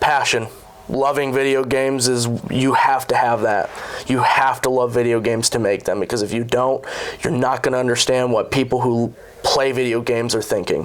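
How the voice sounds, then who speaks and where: A man speaks at a moderate pace and medium pitch, with monotone, flat intonation and very even loudness. Noticeable background noise is present. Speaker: fast-food worker and aspiring game developer. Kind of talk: interview. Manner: hesitant fillers.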